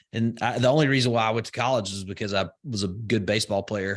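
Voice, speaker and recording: Set against a quiet background, a man with a Southern US accent talks in a medium pitch with fairly even intonation. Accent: Southern US, slow vowels. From US South, rural Alabama. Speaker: entrepreneur and investor. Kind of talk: podcast interview. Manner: slow vowels.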